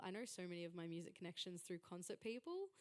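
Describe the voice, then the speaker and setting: An Australian accent with ordinary pitch variation. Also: woman. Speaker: panel moderator. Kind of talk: panel discussion. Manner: loud.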